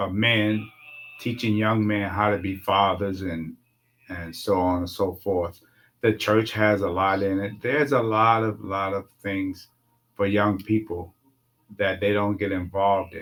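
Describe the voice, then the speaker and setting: Fairly slow and fairly even in intonation, a man speaks at a fairly low pitch in an ordinary speaking voice. The recording is very clean with a silent background. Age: 60s. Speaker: uncle and father figure, guest. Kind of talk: casual interview conversation.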